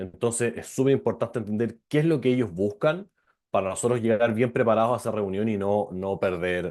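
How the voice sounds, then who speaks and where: A man with a Chilean accent, a fairly low pitch and ordinary pitch variation, over a quiet background. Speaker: venture capital lawyer. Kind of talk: online presentation. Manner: fast; hesitant, many fillers.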